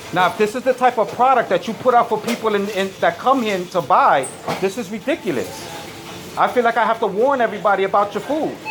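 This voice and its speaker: Loud, very fast speech in an animated tone with ordinary pitch variation, amid noticeable background noise. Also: man, high pitch for a man. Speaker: customer filming a complaint. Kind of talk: heated argument. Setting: in a supermarket.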